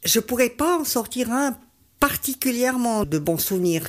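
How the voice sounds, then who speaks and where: Recorded very cleanly against a silent background, a woman speaks at a fairly slow pace with a fairly high pitch that swings very widely. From Switzerland, Valais. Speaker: amateur runner. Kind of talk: radio interview. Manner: hesitant, many fillers.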